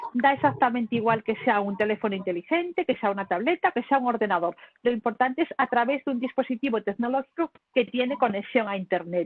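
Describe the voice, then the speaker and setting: At a very fast pace, a woman talks in a high pitch with lively intonation. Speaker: communication lecturer. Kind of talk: lecture. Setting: video call. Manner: animated.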